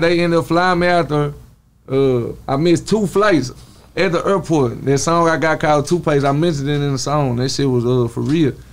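With a Southern US accent, a man speaks using ordinary pitch variation. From Texas. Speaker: rapper. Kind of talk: casual chat. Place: shop. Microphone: studio mic.

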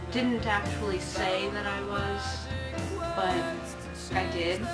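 A woman speaks over loud background music. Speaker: vlogger. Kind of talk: casual vlog chat. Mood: earnest, personal story. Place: home room. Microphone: old recording.

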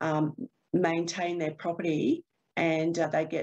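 A woman with an Australian accent speaks at a moderate pace in a fairly low pitch, against a quiet background. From Queensland, Australia. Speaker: proptech startup co-founder; panelist. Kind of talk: webinar panel discussion. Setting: video call. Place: office. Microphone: webcam.

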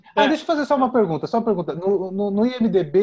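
A man talks with lively intonation as noticeable background noise continues. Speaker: podcast co-host. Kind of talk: casual interview.

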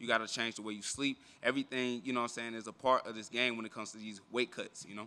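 A man's bright, sharp voice at medium pitch, very fast, with big swings in loudness. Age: 20s. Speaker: professional MMA fighter. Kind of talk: media day interview. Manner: animated. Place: hall.

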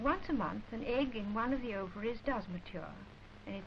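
With light background noise, a woman in an English accent talks at a fairly quick pace with ordinary pitch variation. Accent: received pronunciation, posh. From England. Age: adult. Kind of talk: educational film narration. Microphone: old recording.

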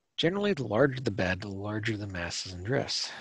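A somewhat breathy voice with an American accent moves at a fairly quick pace with lively intonation on a very clean recording with a silent background. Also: man. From Minnesota, US Midwest. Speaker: garden designer and speaker. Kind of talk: presentation. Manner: casual, with frequent fillers.

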